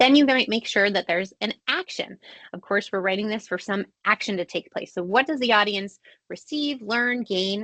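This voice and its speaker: A woman speaks in a fairly high pitch with a bright, sharp tone and ordinary pitch variation. The sound is dry and close, with no echo. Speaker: marketing agency CEO, webinar presenter. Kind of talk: webinar presentation. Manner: fast.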